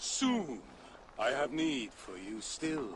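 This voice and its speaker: Over clear background noise, a man at medium pitch uses a put-on character voice. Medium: video game. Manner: cold, calculating.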